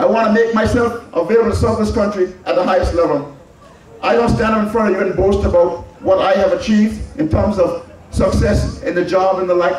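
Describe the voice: A man talks at a fairly quick pace with a high pitch, fairly even intonation and a slightly mellow tone, with strong room echo around him.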